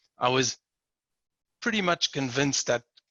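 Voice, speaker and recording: A bright, sharp voice with a South African accent comes across dry and close, with no echo. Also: man. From South Africa, Port Elizabeth. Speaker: manufacturing director. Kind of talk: interview.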